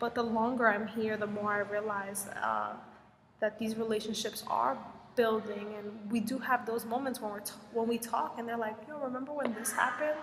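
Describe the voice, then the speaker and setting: With an American accent, a woman speaks at a fairly high pitch with fairly even intonation, amid audible room echo and noticeable background noise. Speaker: Peace Corps volunteer vlogger. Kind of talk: casual vlog Q&A. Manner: slow.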